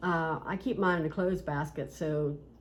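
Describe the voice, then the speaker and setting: A woman in an Appalachian accent talks at a moderate pace with a fairly low pitch and fairly even intonation, with audible room echo. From West Virginia. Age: 60s. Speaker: cross-stitch video host. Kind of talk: casual chat.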